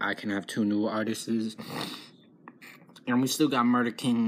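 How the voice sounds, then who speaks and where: A man talks, keeping to a moderate pace. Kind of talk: casual vlog chat. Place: home room. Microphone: phone near.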